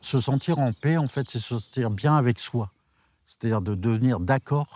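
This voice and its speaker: A man speaks at a fairly slow pace with a dark, mellow tone. The sound is dry and close, with no echo. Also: quiet background. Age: 60s. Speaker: retired teacher on retreat. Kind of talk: interview testimony.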